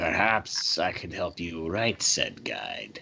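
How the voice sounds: A man uses a put-on character voice, raspy and sinister, with a fairly low pitch. He speaks at a very slow pace.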